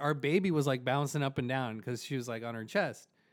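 Fairly quick delivery from a man in a plain, everyday voice, fairly high in pitch, in a very clean recording with a silent background. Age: 20s. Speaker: podcast co-host. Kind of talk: casual chat.

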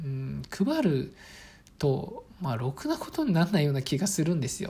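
A woman's somewhat breathy, relaxed voice, dark and mellow in tone, with very wide pitch swings. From Saitama, Japan (rural town). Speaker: podcaster, office worker and father. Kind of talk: casual solo talk. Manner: relaxed, many fillers.

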